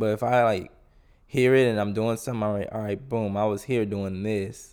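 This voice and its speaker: On a very clean recording with a silent background, a man with an ordinary speaking voice and medium pitch speaks at a fairly quick pace with fairly even intonation. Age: 20s. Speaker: solo podcaster. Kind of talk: casual monologue. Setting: home recording with headphones. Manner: informal, rambling with fillers.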